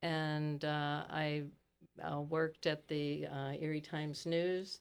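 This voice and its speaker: Using a very deep, low pitch and monotone, flat intonation, a woman with an American accent speaks at a very slow pace. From US, Pittsburgh (Italian-born, emigrated as a young child). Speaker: retired educator and library activist. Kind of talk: podcast interview.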